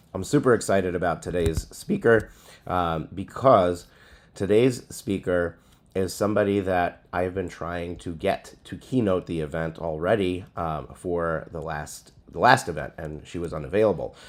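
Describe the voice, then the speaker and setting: A man speaks with a very deep, low pitch at a moderate pace. His loudness swings widely. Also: ordinary pitch variation. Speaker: legal business event host. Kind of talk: announcement video. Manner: halting with fillers.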